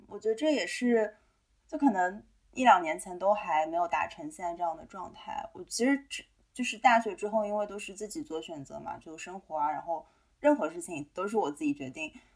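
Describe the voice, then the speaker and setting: A woman at a fairly quick pace, medium in pitch, with very wide pitch swings. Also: big swings in loudness. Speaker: podcast co-host. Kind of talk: casual chat.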